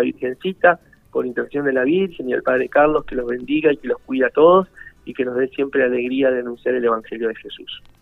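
Over background music, a man speaks at a fairly quick pace. His voice is fairly high, with ordinary pitch variation. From Buenos Aires, Argentina. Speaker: parish priest. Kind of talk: radio interview. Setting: phone call.

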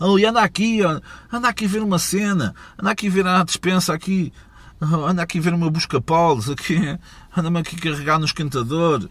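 This man's voice sits high in pitch. He talks at a moderate pace with ordinary pitch variation. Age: 30s. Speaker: podcast host. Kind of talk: casual monologue. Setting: mobile studio. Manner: animated.

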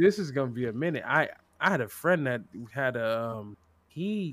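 Using an unremarkable speaking voice with an American accent, a man talks at a medium pitch and moderate pace with lively intonation. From California. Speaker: streamer. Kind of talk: casual chat.

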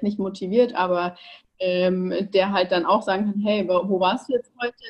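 A woman's medium-pitched voice at a moderate pace, flat and monotone in intonation. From Bavaria, Ingolstadt. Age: 20s. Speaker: online nutrition coach. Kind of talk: interview.

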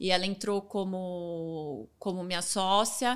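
A woman has an ordinary speaking voice at medium pitch with fairly even intonation, on a very clean recording with a silent background. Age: 30s. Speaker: fashion influencer and entrepreneur. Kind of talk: casual interview chat.

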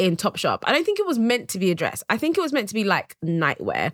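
A woman with a British accent has a bright, sharp tone in a dry, close sound with no echo on a very clean recording with a silent background. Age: 30s. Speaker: podcast host. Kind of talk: casual monologue; interview.

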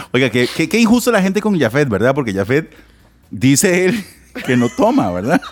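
A man with a fairly high pitch speaks at a moderate pace, his pitch swinging very widely, over noticeable background noise. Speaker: podcast co-host. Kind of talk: casual chat.

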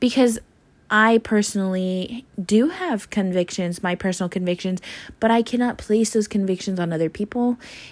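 A woman's plain, everyday voice at a medium pitch, on a very clean recording with a silent background. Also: ordinary pitch variation, moderate pace. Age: 20s. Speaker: podcaster. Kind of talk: personal monologue.

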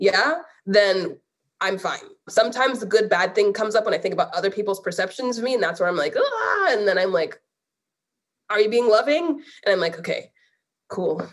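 At a fairly quick pace yet with long, frequent pauses, a woman speaks at a fairly high pitch. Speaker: artist and guest. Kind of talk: casual interview. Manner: intense, convicted.

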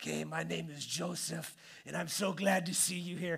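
A man's put-on character voice, raspy and at a moderate pace. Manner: cheerful, welcoming.

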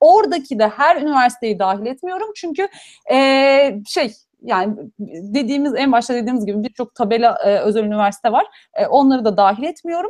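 A woman speaks at a fairly quick pace in a high voice with very wide pitch swings, recorded dry and close with no echo. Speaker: PhD student in genetics. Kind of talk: livestream Q&A chat.

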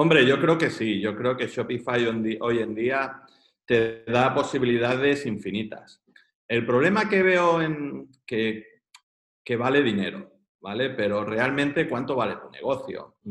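Delivery comes at a fairly slow pace, with ordinary pitch variation. It is an unremarkable speaking voice. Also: man, medium pitch for a man. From Catalonia, Spain (Girona). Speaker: entrepreneur. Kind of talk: interview.

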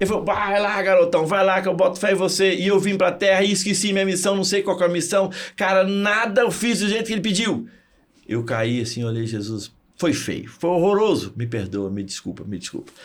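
Amid audible room echo, a man with a high pitch talks fairly quickly in an animated tone with lively intonation. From Minas Gerais, Brazil (Zona da Mata). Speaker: physics teacher and motivational speaker. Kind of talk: interview.

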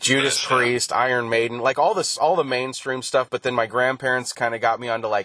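The background is quiet. A man is speaking. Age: 40s. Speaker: podcast host. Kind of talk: casual chat.

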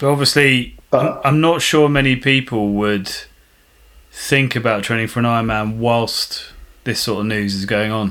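Here is a man with an ordinary speaking voice at a medium pitch. He talks at a moderate pace with ordinary pitch variation. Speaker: podcast co-host. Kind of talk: casual interview.

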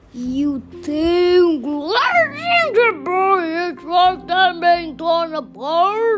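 A shrill, put-on character voice at an extremely high pitch, very slow yet with hardly any pauses, over clear background noise. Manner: screeching.

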